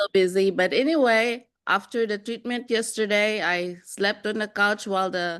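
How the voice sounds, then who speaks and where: A woman with an unremarkable speaking voice talks fairly slowly at medium pitch with ordinary pitch variation, against a quiet background. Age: 60s. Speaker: nurse. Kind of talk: testimony.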